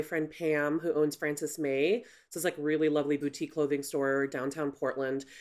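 In an American accent, a woman speaks with a very deep, low pitch on a very clean recording with a silent background. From Chicago. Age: 40s. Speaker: creative agency founder. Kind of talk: interview conversation.

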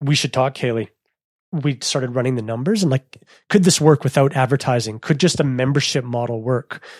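A man with a Canadian accent has a plain, everyday voice at medium pitch, with ordinary pitch variation and a fairly quick pace. The sound is dry and close with no echo, and the recording is very clean with a silent background. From Canada, Manitoba. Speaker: cycling media founder. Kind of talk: interview.

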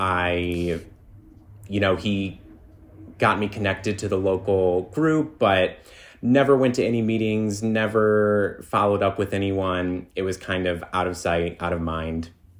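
Using a plain, everyday voice, a man with a fairly low pitch speaks at a fairly slow pace with ordinary pitch variation. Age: 30s. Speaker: Buddhist practitioner, sales and marketing worker. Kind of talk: interview.

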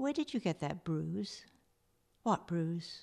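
With an English accent, a woman speaks at a fairly low pitch over a quiet background. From England. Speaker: novelist and retired priest. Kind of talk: reading aloud.

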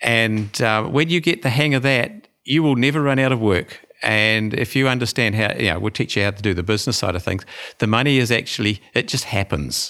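Speaking with a New Zealand accent, a man with a medium pitch and a bright, sharp tone talks at a fairly quick pace on a very clean recording with a silent background. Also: ordinary pitch variation. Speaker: dentist. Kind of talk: interview.

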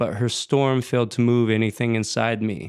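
In an American accent, a man talks at a fairly slow pace with an unremarkable speaking voice and medium pitch, captured in a very clean recording with a silent background. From Seattle, Washington, US Pacific Northwest. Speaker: writer and musician. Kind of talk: reading aloud.

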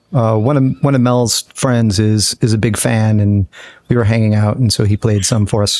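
A man with an ordinary speaking voice, fairly low in pitch, at a moderate pace, with very even loudness, fairly even intonation and a dry, close sound with no echo. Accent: American. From Upstate New York (Utica area). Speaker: band member. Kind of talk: casual chat.

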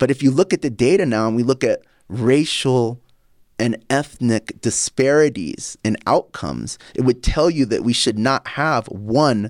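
A man talks at a fairly slow pace in an unremarkable speaking voice, medium in pitch with lively intonation, in a very clean recording with a silent background. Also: dry, close sound with no echo. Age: 40s. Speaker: podcast host and health company CEO. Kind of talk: casual interview.

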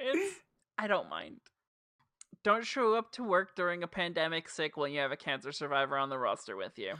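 Speaking at a moderate pace with a New Jersey accent, a woman uses a fairly low pitch with very wide swings, leaving long, frequent pauses. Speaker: wrestling podcast co-host. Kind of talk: casual chat.

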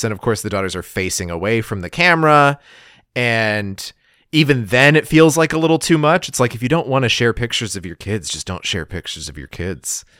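Over a very clean recording with a silent background, a man talks at a fairly quick pace in a medium pitch with very wide pitch swings. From New Mexico. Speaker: podcaster. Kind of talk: casual chat.

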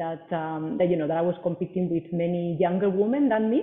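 A woman with a Spanish accent talks in a fairly low pitch. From Spain. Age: 40s. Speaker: personal trainer. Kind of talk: interview. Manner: hesitant, many fillers and repeats.

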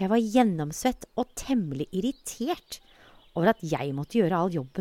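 Lively intonation runs through the clip. The delivery is plain reading aloud.

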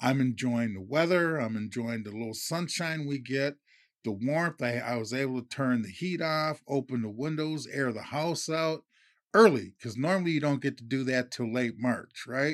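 Here a man has a plain, everyday voice at medium pitch with ordinary pitch variation. He talks at a moderate pace on a very clean recording with a silent background. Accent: American. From Minnesota. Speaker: podcast co-host. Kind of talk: casual chat.

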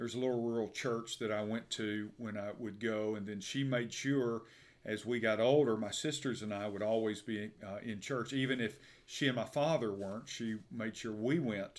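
With an Alabama accent, a man speaks at a medium pitch with fairly even intonation on a very clean recording with a silent background. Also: moderate pace. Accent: Southern US (Alabama). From US South, Birmingham, Alabama. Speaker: pastor. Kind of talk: interview about his life and faith. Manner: hesitant, many fillers.

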